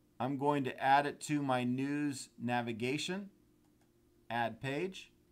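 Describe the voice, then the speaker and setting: A man speaks at a very slow pace in a fairly high voice. His pitch varies in an ordinary way. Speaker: software trainer. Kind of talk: webinar tutorial. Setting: online webinar.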